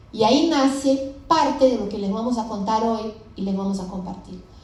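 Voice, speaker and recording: Audible room echo surrounds a woman whose fairly high voice has ordinary pitch variation. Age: 50s. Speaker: startup founder. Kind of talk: conference presentation.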